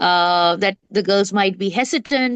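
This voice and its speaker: In a dry, close recording with no echo and a quiet background, a woman talks at a fairly slow pace in a medium pitch with a bright, sharp tone. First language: not English. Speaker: literary festival founder. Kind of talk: casual interview. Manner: halting, many fillers.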